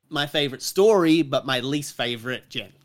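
Lively intonation with an Australian accent. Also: man. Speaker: podcast guest. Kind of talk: casual chat. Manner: animated.

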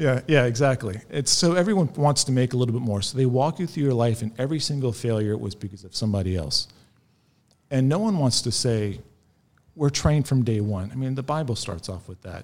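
Lively intonation from a man with an American accent, a plain, everyday voice at medium pitch, moving at a fairly quick pace. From US South, north central Florida. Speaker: former skinhead recounting his story. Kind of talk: interview testimony. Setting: in person at guest's home city.

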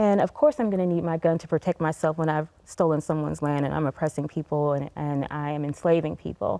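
A woman speaks at a very fast pace in a very deep, low voice with a dark, mellow tone and fairly even intonation. The recording is very clean, with a silent background. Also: dry, close sound with no echo. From Tennessee. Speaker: psychology professor and nonprofit CEO. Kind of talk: panel discussion. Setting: TV studio.

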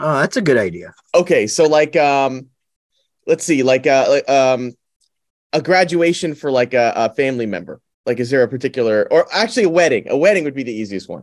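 An unremarkable speaking voice with lively intonation and a fairly quick pace, set against a quiet background. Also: man, fairly high pitch for a man. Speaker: podcast co-host. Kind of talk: casual chat.

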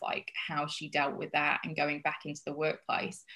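A woman's very deep, low voice in an American accent, monotone and flat, at a moderate pace. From Yorkshire, England. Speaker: social impact business founder. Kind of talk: casual interview.

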